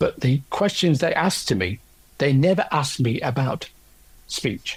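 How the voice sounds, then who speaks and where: A man's fairly high, somewhat breathy voice with lively intonation, very even loudness, and a moderate pace. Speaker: orchestral percussionist with aphasia after a stroke. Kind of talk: interview about own experience. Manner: halting, with word-finding pauses and repetitions.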